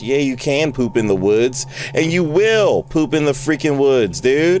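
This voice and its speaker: Lively intonation and a fairly slow pace come through a dry sound with no echo, with music in the background. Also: man. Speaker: gamer streamer. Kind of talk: gameplay commentary. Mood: startled, joking, annoyed. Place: home room. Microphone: headset.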